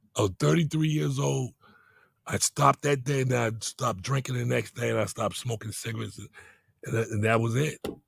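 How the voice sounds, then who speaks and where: A somewhat breathy man with an American accent, medium in pitch with very wide pitch swings, at a fairly quick pace in a dry, close sound with no echo. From Boston, US. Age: 60s. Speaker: entrepreneur. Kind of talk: interview. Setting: studio.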